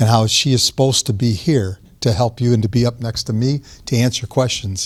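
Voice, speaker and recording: With ordinary pitch variation, a man speaks at a medium pitch in a somewhat breathy voice. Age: 60s. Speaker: diet advocate speaker. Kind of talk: talk to audience with Q&A. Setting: church hall with audience.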